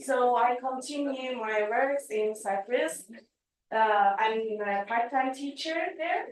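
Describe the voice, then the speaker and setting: A woman with a Turkish accent, high in pitch, with ordinary pitch variation. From Turkey. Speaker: philosophy professor. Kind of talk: academic conference talk. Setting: video call. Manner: halting.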